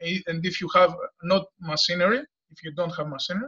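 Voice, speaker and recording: In a raised, projected voice with a bright, sharp tone, a man with a Greek accent speaks at a moderate pace, high in pitch, with ordinary pitch variation. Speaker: farmer and former mechanical engineer. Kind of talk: discussion comment in a video meeting. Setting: video call. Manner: halting, many hesitations.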